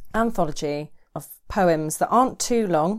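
A woman with a normal speaking voice, fairly low in pitch with ordinary pitch variation, speaking at a fairly slow pace on a very clean recording with a silent background. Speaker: podcast co-host. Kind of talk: casual chat. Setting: home studio.

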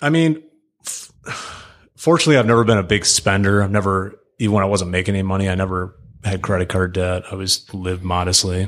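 With an American accent and a very deep, low pitch, a man speaks at a very fast pace on a very clean recording with a silent background. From Michigan (Metro Detroit suburbs). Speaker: real estate investor and landlord. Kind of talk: casual interview chat. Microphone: close to the mic, sounds good.

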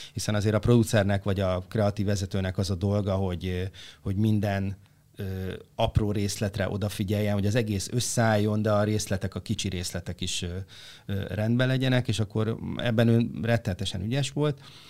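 A man with a plain, everyday voice talks at a fairly quick pace and fairly low pitch, with fairly even intonation. The recording is very clean, with a silent background. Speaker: former creative producer of a talent show. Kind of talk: interview answers, storytelling.

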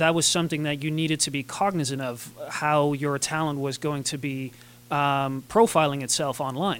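Speaking at a moderate pace, a man uses a normal speaking voice with a fairly high pitch. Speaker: podcast host. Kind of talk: interview.

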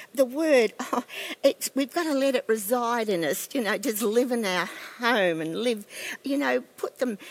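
A woman speaks in an Australian accent with a high pitch. Her intonation is lively and her pace fairly slow. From Australia, Queensland. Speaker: pastor's wife and former missionary. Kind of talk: casual interview about faith.

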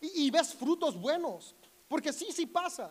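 A man talking at a fairly slow pace. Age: 30s. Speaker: pastor. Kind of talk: sermon.

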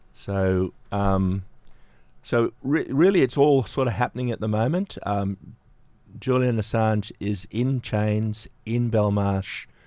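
Fairly low and dark, mellow in tone, a man's voice moves at a very slow pace with an Australian accent. The recording is very clean, with a silent background. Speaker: community radio presenter. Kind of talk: radio interview and news coverage.

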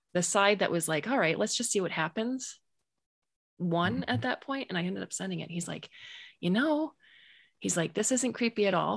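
Against a quiet background, a woman speaks at a moderate pace and medium pitch, with very wide pitch swings, vocal fry, and long, frequent pauses. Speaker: audiobook and podcast narrator. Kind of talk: casual chat. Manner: animated, emotional.

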